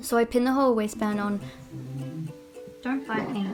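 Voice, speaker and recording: A woman mumbles at a moderate pace with a fairly high pitch. Music plays in the background. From Australia. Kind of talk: casual sewing vlog talk to camera. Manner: mumbling.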